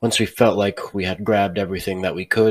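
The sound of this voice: The reading voice stays unforced, with intonation kept fairly level.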